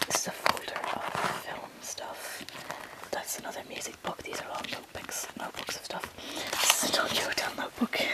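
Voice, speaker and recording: Whispering at a fairly quick pace, a woman is heard over noticeable background noise. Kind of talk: ASMR room tour. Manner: whispered.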